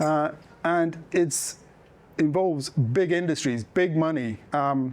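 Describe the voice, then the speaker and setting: A man with an English accent and ordinary pitch variation. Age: middle-aged. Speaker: documentary filmmaker and sanctuary owner. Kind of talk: public talk to an audience. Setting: room with live audience. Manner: soft-spoken; halting, many fillers.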